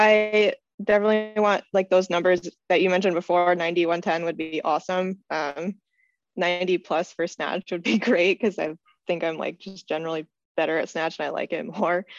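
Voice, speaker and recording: A woman talks at a moderate pace with a fairly low pitch. She has an unremarkable speaking voice. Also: fairly even intonation. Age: 20s. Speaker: weightlifter and biomedical engineer. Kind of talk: interview.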